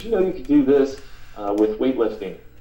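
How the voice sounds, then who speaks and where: Audible room echo surrounds a man who talks at a fairly quick speed. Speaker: marketing instructor. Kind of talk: webinar presentation. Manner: fast.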